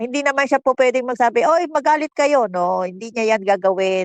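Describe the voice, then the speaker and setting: A woman speaks with a dry, close sound that has no echo. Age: 60s. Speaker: political commentator. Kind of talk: casual chat. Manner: animated.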